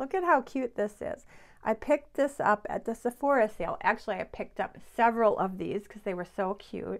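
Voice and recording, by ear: Vocal fry runs through speech at a moderate pace with ordinary pitch variation. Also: woman, medium pitch for a woman.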